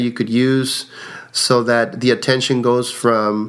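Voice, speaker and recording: A man speaks with a Spanish accent at a medium pitch. His intonation is monotone and flat. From Mexico. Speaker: card counter. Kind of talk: interview.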